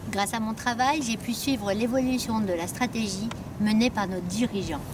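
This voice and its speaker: A woman speaks at a moderate pace in a fairly high voice with ordinary pitch variation, over noticeable background noise. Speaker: staff election candidate, HR career manager. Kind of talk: campaign video statement. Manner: formal.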